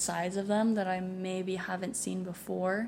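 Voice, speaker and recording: Audible room echo surrounds a woman speaking at medium pitch. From US West Coast, San Francisco Bay Area. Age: 20s. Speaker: finance worker. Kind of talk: casual chat. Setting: at home.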